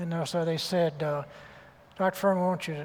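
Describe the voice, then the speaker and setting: This man's voice is pitched high. His words come very fast. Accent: Southern US. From US South. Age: 70s. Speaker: surgeon and author. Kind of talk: interview on stage.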